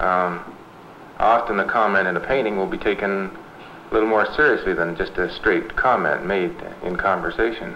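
Against noticeable background noise, a man speaks at a moderate pace in a fairly low pitch with ordinary pitch variation. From London, Ontario, Canada. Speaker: collage artist. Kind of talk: documentary interview.

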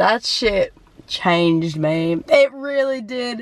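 Her intonation moves in a lively way. The woman's pitch is fairly high. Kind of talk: casual reaction video talk. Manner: excited.

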